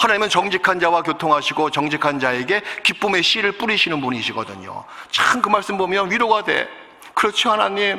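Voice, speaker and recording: A man's high, raised, projected voice, fairly quick and animated, with lively intonation and noticeable background noise. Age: 60s. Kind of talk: sermon.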